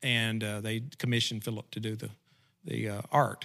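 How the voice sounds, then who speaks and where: Bright, sharp tone from a man in an Arkansas accent, on a very clean recording with a silent background. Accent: Southern US (Arkansas). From Southeast Arkansas. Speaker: retriever dog trainer. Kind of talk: casual interview.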